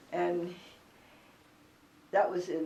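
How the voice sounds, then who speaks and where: Noticeable background noise sits under this recording. A woman speaks at a fairly low pitch and a very slow pace. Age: 80s+. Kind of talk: oral history interview answer. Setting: at home.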